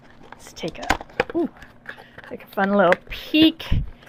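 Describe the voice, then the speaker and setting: At a fairly slow pace, a speaker with a Canadian accent swings very widely in pitch over noticeable background noise. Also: woman. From Eastern Canada, New Brunswick. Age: 60s. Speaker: beauty vlogger. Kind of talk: product unboxing review. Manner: animated.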